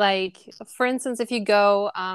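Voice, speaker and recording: On a very clean recording with a silent background and a dry, close sound with no echo, a woman with a German accent speaks at medium pitch and a moderate pace with fairly even intonation. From Germany. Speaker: guest. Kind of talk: casual interview chat.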